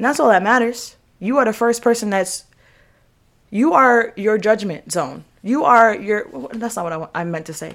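A woman with a normal speaking voice and a fairly high pitch talks at a moderate pace with big swings in loudness, in a very clean recording with a silent background. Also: lively intonation. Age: 20s. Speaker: podcast host.

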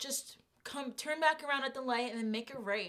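A put-on character voice, female-sounding and high in pitch, carries the clip.

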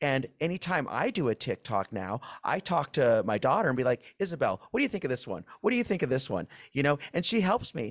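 A man speaks at a fairly quick pace with a fairly high pitch, very wide pitch swings and vocal fry. The recording is very clean with a silent background, dry and close with no echo. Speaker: labor podcast host. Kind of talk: interview.

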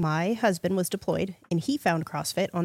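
An unremarkable speaking voice at a moderate pace with ordinary pitch variation, dry and close with no echo. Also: woman. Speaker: fitness coach. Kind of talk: casual chat.

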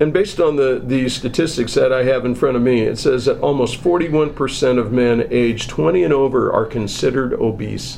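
The speaker talks at a moderate pace with hardly any pauses, very even loudness and ordinary pitch variation. Audible room echo and noticeable background noise fill the recording. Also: man, medium pitch for a man. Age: 60s. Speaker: hospital marketing director, podcast host. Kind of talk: casual health chat.

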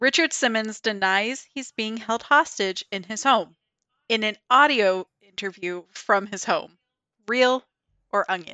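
A woman speaks at a fairly slow pace in a fairly high pitch. Hers is an unremarkable speaking voice with ordinary pitch variation. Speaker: podcast host. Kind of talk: casual chat.

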